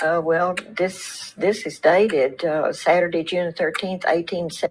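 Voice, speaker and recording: A woman with a Texan accent, fairly low pitch and fairly even intonation. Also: moderate pace. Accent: Texan Southern US. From Texas. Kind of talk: interview answer.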